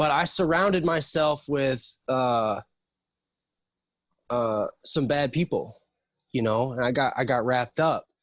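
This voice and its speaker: A man with an American accent talks at a fairly slow pace and fairly high pitch, with ordinary pitch variation and long, frequent pauses. His loudness stays very even, and the sound is dry and close with no echo. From US Midwest, Saint Louis area. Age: 30s. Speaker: formerly homeless man. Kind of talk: interview. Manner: soft-spoken; halting.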